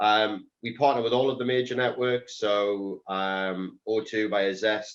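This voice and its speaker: In a North East England accent, a man talks at a fairly slow pace with fairly even intonation. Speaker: telecoms reseller businessman. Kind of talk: panel discussion. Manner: hesitant, many ums.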